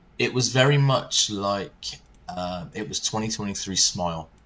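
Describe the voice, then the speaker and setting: With an English accent, a man speaks at a fairly low pitch. His intonation is lively. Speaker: horror movie podcast host. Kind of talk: casual movie review chat.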